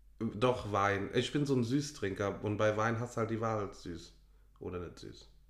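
The voice has a Rhineland accent and vocal fry at a fairly slow pace. Loudness swings widely while pitch varies in an ordinary way. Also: man, fairly low pitch for a man. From Rhineland, western Germany. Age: 20s. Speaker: podcast co-host. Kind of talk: casual chat.

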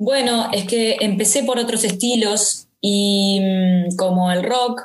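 In a plain, everyday voice, a woman speaks with fairly even intonation and a fairly high pitch. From Uruguay, Montevideo. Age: 30s. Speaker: rapper and actress. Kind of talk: interview conversation.

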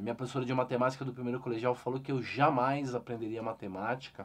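A man is speaking. His pace is very fast. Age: 40s. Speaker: investor and financial educator. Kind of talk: interview.

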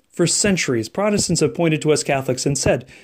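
A man with an American accent has an unremarkable speaking voice. His pitch is fairly high and his intonation lively. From French Canadian American family, US. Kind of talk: scripted spiritual reflection. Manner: formal.

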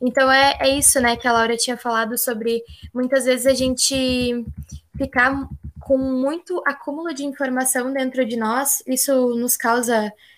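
Recorded very cleanly with a silent background, a woman speaks at a fairly slow pace in a high voice with fairly even intonation. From Rio Grande do Sul, Brazil. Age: 20s. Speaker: podcast host, agronomy student. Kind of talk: casual chat.

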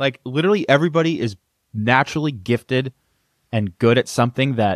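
Recorded with a dry, close sound and no echo, a man talks at a very fast pace with ordinary pitch variation. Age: 20s. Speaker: copywriter and business founder. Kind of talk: casual chat.

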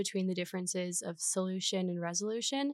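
A woman of medium pitch in an unremarkable speaking voice, with an American accent. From Minnesota, small town. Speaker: undergraduate student, essay award winner. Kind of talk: casual interview.

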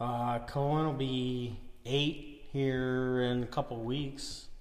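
A man with an American accent at a very slow pace, in a room with audible echo. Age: 30s. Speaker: tractor puller. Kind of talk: casual chat.

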